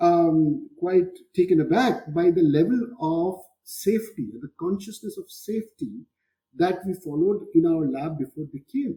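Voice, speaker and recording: With a Bengali accent and a dark, mellow tone, the speaker moves at a fairly slow pace, intonation lively and loudness swinging widely. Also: man, high pitch for a man. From India, Kolkata (Bengal). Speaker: physics professor. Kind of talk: interview conversation.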